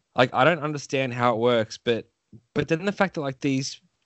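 A man with an Australian accent talks at a fairly quick pace with ordinary pitch variation. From Australia, Melbourne. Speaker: podcast host. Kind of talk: casual interview.

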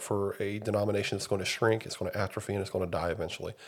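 On a very clean recording with a silent background, a somewhat breathy man speaks very fast at a fairly low pitch with fairly even intonation. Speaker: podcast host. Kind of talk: casual chat.

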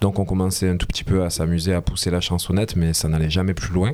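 A man is speaking. His pace is fairly quick. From southern France, Alès (Gard). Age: 30s. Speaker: singer-songwriter. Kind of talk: interview. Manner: animated.

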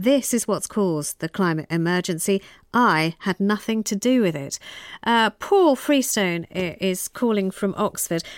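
Recorded dry and close with no echo, a woman with a British accent speaks at a fairly slow pace, her medium pitch shaped by lively intonation. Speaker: radio phone-in presenter. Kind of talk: radio phone-in. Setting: studio.

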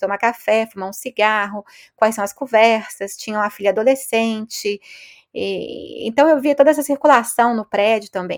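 At a moderate pace, a woman with a fairly high pitch and an ordinary speaking voice is heard in a very clean recording with a silent background, the sound dry and close with no echo. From Brazil, Belo Horizonte. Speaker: sociologist professor. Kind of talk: interview.

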